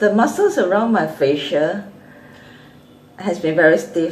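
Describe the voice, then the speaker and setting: Audible room echo surrounds a woman speaking at a fairly slow pace, her fairly low-pitched voice showing ordinary pitch variation. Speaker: vlogger with a chronic illness. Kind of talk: casual vlog chat. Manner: halting.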